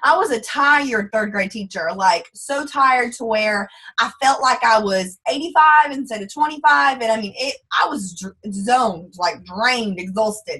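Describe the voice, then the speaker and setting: Her bright, sharp tone and fairly high pitch carry lively intonation as this woman speaks with a strong Texas accent. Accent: thick Texas drawl. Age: 20s. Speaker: network marketing distributor. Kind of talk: testimony on a group call. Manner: fast.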